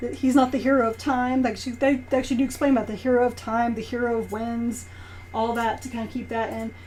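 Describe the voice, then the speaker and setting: A woman talks at a very fast pace. Room echo can be heard. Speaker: strategy guide reviewer. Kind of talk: product review. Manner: casual, filler-heavy.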